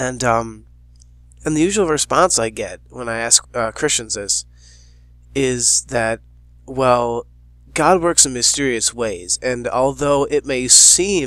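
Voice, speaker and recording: On a very clean recording with a silent background, the speech moves very slowly, with long pauses coming often. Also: man. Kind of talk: casual talk to camera. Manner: hesitant, unscripted.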